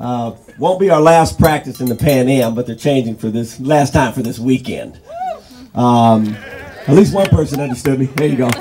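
A man keeps a moderate pace while noticeable background noise sits behind him. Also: medium pitch for a man, ordinary pitch variation. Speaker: basketball coach. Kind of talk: rally speech.

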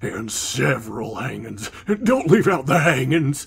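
This man puts on a raspy character voice at medium pitch. He speaks at a fairly slow pace.

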